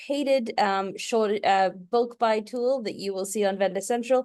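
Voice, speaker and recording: Her pitch is medium, and this woman talks at a moderate speed. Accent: British. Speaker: e-commerce agency co-founder, ex-Amazon manager. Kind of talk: webinar interview.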